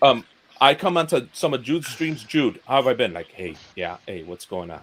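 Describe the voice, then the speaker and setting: This man speaks at a moderate pace with a medium pitch, vocal fry and very wide pitch swings. His loudness rises and falls in big swings. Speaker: YouTuber. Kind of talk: casual chat. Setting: live stream. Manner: halting.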